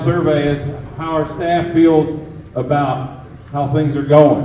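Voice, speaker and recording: A man with a fairly high pitch talks at a moderate pace. There is audible room echo and noticeable background noise. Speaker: school district administrator. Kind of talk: public presentation at town hall. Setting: school town hall meeting with audience. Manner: loud.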